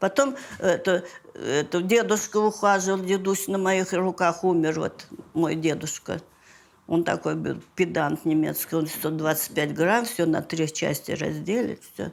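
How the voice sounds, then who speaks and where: A woman speaks at a fairly low pitch with vocal fry. Her pace is fairly slow and her pitch variation ordinary. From Leningrad. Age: 80s+. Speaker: siege survivor; retired acrobat and coach. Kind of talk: interview answer.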